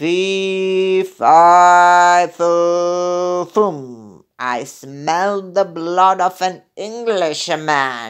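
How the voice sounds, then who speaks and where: A put-on character voice at middle pitch takes on a menacing tone. It moves at a very slow pace over a quiet background. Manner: terrible, menacing.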